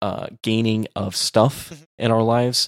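A man with an American accent speaks at a moderate pace in an unremarkable speaking voice, his pitch fairly low and his intonation fairly even. The sound is dry and close, with no echo. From Texas. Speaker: podcast co-host. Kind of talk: casual discussion.

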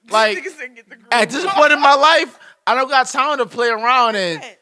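Raising and projecting his voice, a man speaks at a fairly slow pace in a bright, sharp tone with lively intonation. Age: 20s. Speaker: podcast guest. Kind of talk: casual chat.

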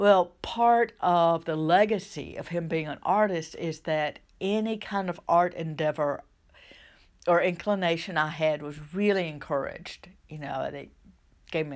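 In a Southern US accent, the speaker talks at a fairly slow pace. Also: woman, very clean recording, silent background. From US South. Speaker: minister and life coach. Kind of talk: solo podcast talk. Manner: conversational, hesitant with restarts.

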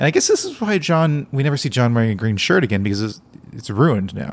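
This man talks at a very fast pace. His intonation is lively. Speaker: podcast host. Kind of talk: casual chat. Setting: recording at night at home.

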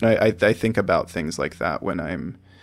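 Ordinary pitch variation and a moderate pace in an American accent. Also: man. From Iowa, US Midwest. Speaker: artist and photographer. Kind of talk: interview conversation. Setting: remote call. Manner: halting, many fillers.

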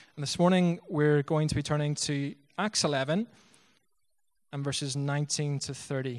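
Against a quiet background, a man with a Northern Irish accent speaks at a moderate pace and a fairly high pitch, with ordinary pitch variation and long, frequent pauses. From Northern Ireland, Bangor. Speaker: missionary pastor. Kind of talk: sermon. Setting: church.

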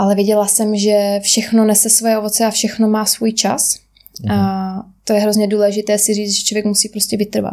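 A woman speaks at a moderate pace and a medium pitch. Her intonation is monotone and flat. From Czech Republic, Rožnov (Moravian Wallachia). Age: 20s. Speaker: personal trainer and bikini fitness champion. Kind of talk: interview.

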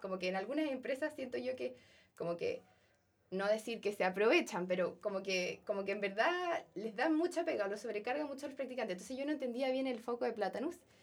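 With lively intonation, a woman is talking. She moves at a fairly quick pace. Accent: Chilean. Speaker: software engineering trainee. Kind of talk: casual interview chat.

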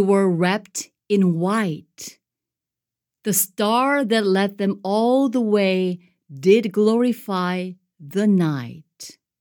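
A woman's medium-pitched voice, gentle in tone, at a very slow pace with ordinary pitch variation. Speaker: poetry reader. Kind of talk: poetry reading aloud. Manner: gentle, measured storytelling cadence.

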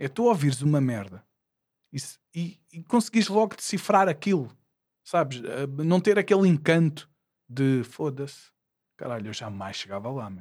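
On a very clean recording with a silent background, a man with a fairly high pitch speaks at a moderate pace with very wide pitch swings, big swings in loudness and long, frequent pauses. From Portugal, Lisbon area (Porto Salvo, Oeiras). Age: 40s. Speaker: rapper. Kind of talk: casual chat.

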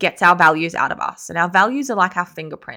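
In a very clean recording with a silent background, a woman speaks with a bright, sharp tone at a fairly low pitch. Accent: Australian. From Sydney, Australia. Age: 30s. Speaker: podcast host. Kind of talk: solo podcast monologue.

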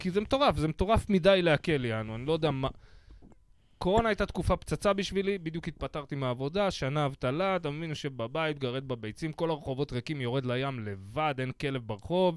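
In a very clean recording with a silent background, a man with an ordinary speaking voice and fairly high pitch talks at a fairly quick pace with lively intonation. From Israel, Bat Yam. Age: 40s. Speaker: podcast host, comedian. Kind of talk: casual chat.

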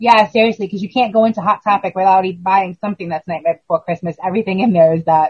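A woman with a somewhat breathy voice of medium pitch speaks very fast, with ordinary pitch variation and hardly any pauses. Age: 40s. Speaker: horror podcast co-host. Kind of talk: casual chat.

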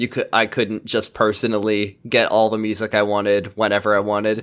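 With an American accent, a man with an ordinary speaking voice and fairly low pitch speaks at a moderate pace in a very clean recording with a silent background. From US Pacific Northwest. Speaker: podcaster. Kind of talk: casual chat.

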